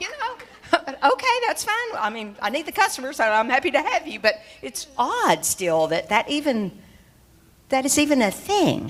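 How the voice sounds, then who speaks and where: Over noticeable background noise, a woman with a high pitch talks at a moderate pace, her pitch swinging very widely. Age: 60s. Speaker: bank executive and conference speaker. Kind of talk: panel interview on stage.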